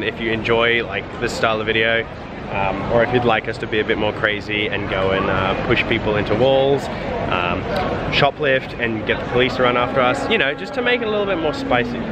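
A man talking at a very fast pace amid loud background noise, in a dry sound with no echo. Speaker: vlogger. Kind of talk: casual vlog chat. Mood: playful, joking. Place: street. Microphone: phone near.

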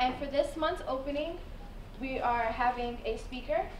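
With audible room echo and light background noise, a woman speaks at a high pitch. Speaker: student activities assistant. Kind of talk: event hosting. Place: hall.

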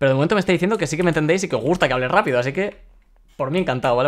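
Very fast and fairly high-pitched, a man rattles off his words. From Spain, Valencia; Spain. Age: 20s. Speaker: gaming streamer. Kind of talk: live gameplay commentary. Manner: occasional stutter. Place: home room.

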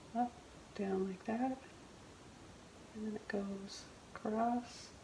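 A soft-spoken woman talks at a very slow pace and a fairly high pitch, her intonation monotone and flat. The room echo is audible, with light background noise. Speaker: painting instructor. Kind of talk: painting tutorial narration. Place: studio.

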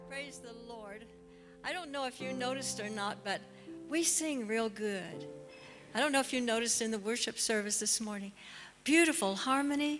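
A woman speaks at a moderate pace with ordinary pitch variation and long, frequent pauses, clear music playing in the background. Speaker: missionary. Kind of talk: church talk to a congregation. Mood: warm, cheerful. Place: church. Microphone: handheld.

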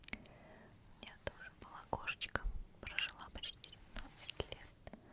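A woman is whispering. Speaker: home video host. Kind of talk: soft casual show-and-tell. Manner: slow close ASMR whisper, affectionate. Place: home room. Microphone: earbuds.

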